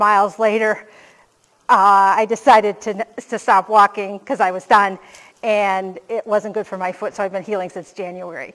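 Over a quiet background, a woman talks at a moderate speed. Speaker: keynote speaker. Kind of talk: conference keynote talk. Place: stage.

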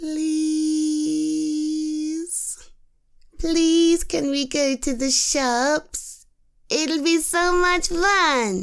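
This woman uses a put-on, whiny character voice at a high pitch with ordinary pitch variation. She talks at a very slow pace, and her loudness stays very even. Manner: pleading.

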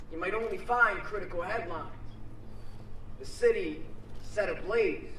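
At a moderate pace, a man talks amid light background noise and audible room echo. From Pennsylvania, Philadelphia suburbs; Pennsylvania. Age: 20s. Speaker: spoken word poet. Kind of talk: spoken word poetry performance. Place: street. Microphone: podium.

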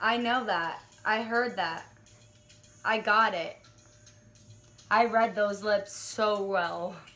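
A woman with a fairly high pitch speaks at a very slow pace with fairly even intonation. She takes long, frequent pauses while faint music plays in the background. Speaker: vlogger. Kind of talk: casual talk to camera. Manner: loud, shouting. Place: home room. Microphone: phone near.

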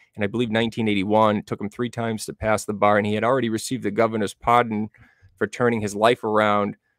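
A man with an American accent talks at a very fast pace, fairly low in pitch and with monotone, flat intonation. The background is quiet and the sound is dry with no echo. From Massachusetts, New Bedford area. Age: 40s. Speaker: true crime researcher. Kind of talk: casual interview. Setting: video call. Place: home room. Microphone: studio mic.

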